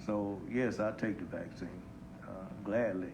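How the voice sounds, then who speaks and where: Audible room echo surrounds a man speaking. His pitch is fairly low and his intonation fairly even. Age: 60s. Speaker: bishop. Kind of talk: panel discussion. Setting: Facebook live panel on stage.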